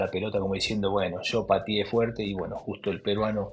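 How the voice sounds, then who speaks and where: Noticeable background noise sits behind a man speaking at a moderate pace with a fairly low pitch. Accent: Argentine. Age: 60s. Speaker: former footballer. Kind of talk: interview. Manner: hesitant, with repetitions.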